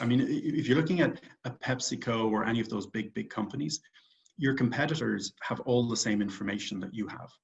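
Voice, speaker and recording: In an Irish accent, a man of medium pitch talks at a moderate pace with vocal fry and ordinary pitch variation. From Ireland, Dublin. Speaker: real estate investor and company founder. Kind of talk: interview.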